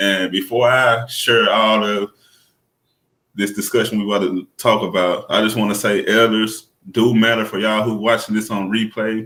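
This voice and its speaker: Moving at a moderate pace, a man with a fairly low pitch and a bright, sharp tone speaks in a monotone, flat intonation. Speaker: podcast host. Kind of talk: casual podcast conversation.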